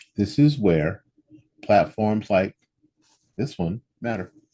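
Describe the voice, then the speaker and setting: With a dark, mellow tone and very wide pitch swings, a man speaks in a dry, close sound with no echo. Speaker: radio host and podcaster. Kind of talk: opinion commentary podcast monologue.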